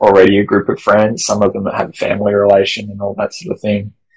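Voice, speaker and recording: A man's fairly low-pitched voice with an Australian accent. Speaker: multi-sport athlete and photographer. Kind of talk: casual interview chat. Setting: video call. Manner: hesitant, many fillers.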